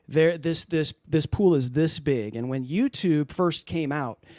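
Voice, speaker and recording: A man with an unremarkable speaking voice uses a fairly high pitch and lively intonation. The sound is dry and close with no echo, and the background is quiet. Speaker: Amazon Live video creator. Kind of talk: casual interview. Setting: live video call.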